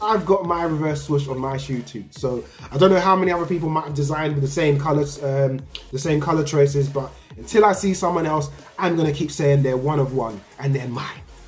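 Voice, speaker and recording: Fairly high-pitched man at a fairly quick pace, ordinary pitch variation, audible room echo, and music in the background. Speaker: sneaker youtuber. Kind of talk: casual vlog review. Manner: animated.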